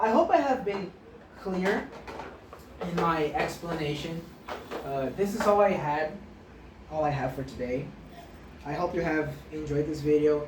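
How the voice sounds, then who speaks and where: Long, frequent pauses and a fairly slow pace, with ordinary pitch variation, audible room echo, and noticeable background noise. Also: woman, very deep, low pitch for a woman. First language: Portuguese. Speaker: maths teacher. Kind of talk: tutorial. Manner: halting, frequent self-corrections.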